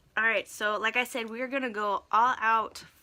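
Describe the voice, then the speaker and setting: A woman with an American accent and a fairly high pitch, speaking at a fairly slow pace over noticeable background noise. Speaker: makeup vlogger. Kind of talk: makeup tutorial livestream. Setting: Facebook live stream. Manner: animated, chatty.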